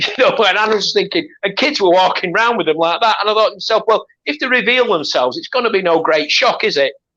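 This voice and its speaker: A man's raised, projected voice at a high pitch, bright and sharp in tone, very fast with hardly any pauses and lively intonation. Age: 60s. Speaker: podcast host and DJ. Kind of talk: casual chat.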